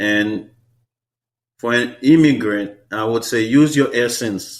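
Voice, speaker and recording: A man speaks with a Haitian accent at a fairly slow pace. His pitch is medium. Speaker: hair stylist. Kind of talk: interview. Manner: repetitive filler-heavy speech.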